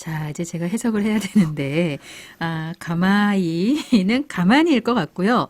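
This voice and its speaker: A woman uses an ordinary speaking voice at a medium pitch. She talks at a fairly slow pace with lively intonation. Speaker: radio host. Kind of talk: radio program hosting.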